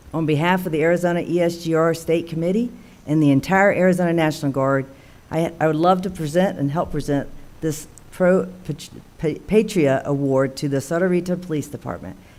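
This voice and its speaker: Speaking at a fairly quick pace with an Alabama accent, a woman with a fairly low pitch keeps a fairly even intonation against audible room echo. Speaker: military officer. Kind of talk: formal speech. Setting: town council meeting. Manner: formal.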